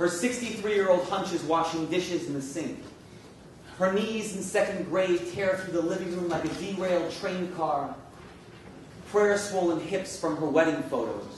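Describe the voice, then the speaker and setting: The speech comes with an American accent at a moderate pace. Pitch variation is ordinary, and there is noticeable background noise. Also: man, high pitch for a man. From New York City. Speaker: spoken word poet. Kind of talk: spoken word poetry performance.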